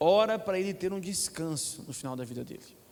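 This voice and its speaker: Lively intonation from a high-pitched man at a moderate pace, with audible room echo. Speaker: preacher. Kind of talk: sermon.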